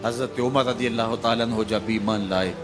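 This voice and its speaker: A man is speaking. Music plays in the background. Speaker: Islamic scholar. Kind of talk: religious sermon.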